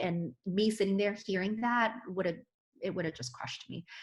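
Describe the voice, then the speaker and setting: A somewhat breathy woman's voice at medium pitch and moderate pace, with ordinary pitch variation, on a very clean recording with a silent background. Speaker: physician. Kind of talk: interview answer.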